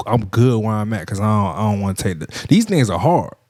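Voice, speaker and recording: Medium in pitch with ordinary pitch variation, a man's voice is heard on a very clean recording with a silent background. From US South, Miami, Florida. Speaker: podcast host and DJ. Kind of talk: casual monologue podcast. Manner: fast.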